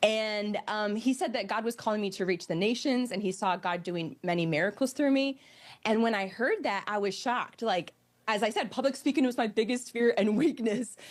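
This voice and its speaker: A woman speaks at a moderate pace with a fairly high pitch. Hers is an ordinary speaking voice with ordinary pitch variation. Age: 30s. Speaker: pastor. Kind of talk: TV interview.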